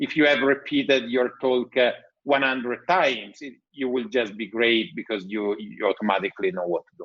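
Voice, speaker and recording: With an Italian accent, a man speaks at medium pitch and moderate pace, his intonation lively. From Italy. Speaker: tech entrepreneur. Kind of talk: podcast interview.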